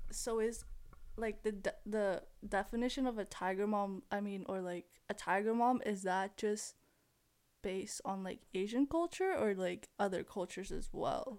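At a moderate pace, a woman talks in an ordinary speaking voice with medium pitch and ordinary pitch variation. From Philippines, raised in Canada. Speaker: university student. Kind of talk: casual chat.

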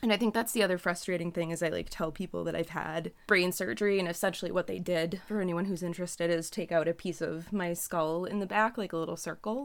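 Speaking fairly quickly, a woman with a fairly low pitch and vocal fry keeps her intonation fairly even. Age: young. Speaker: podcast co-host. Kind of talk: casual chat. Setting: remote call.

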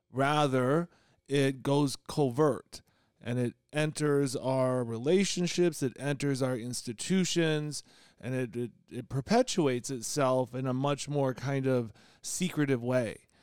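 A man with an American accent, an ordinary speaking voice at medium pitch, ordinary pitch variation, and a fairly slow pace. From rural Illinois. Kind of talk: panel discussion.

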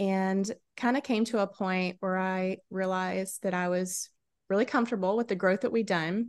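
Against a quiet background, a woman with a Southern US accent speaks at medium pitch and a moderate pace with ordinary pitch variation. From South Carolina, US South. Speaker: podcast host. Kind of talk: casual chat. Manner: animated.

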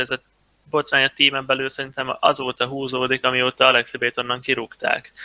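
A man at medium pitch with a bright, sharp tone, recorded dry and close with no echo. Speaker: professional esports player. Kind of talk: casual chat.

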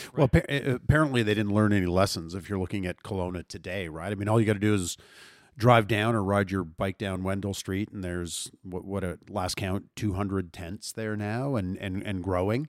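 The recording is very clean and the background silent. A normal speaking voice goes at a fairly quick pace, its pitch variation ordinary. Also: man, fairly low pitch for a man. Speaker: podcast co-host. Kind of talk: casual chat.

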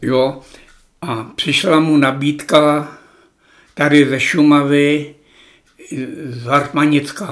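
In a room with audible echo, a man with a fairly high pitch speaks very slowly in a flat monotone, leaving long, frequent pauses. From Czech Republic, Šumava region. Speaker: former gamekeeper. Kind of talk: reminiscing interview. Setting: at home.

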